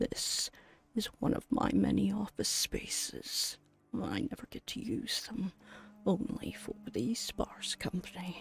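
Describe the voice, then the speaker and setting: A put-on character voice comes out as a whisper. The pace is fairly slow. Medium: game stream. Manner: polite, gentlemanly, warm.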